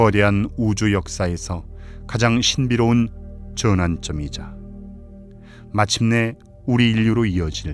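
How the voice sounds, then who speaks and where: A man speaks at a very slow pace in a calm, soothing tone with a fairly low pitch and ordinary pitch variation. Music plays in the background. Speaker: voice actor. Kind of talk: sleep documentary narration.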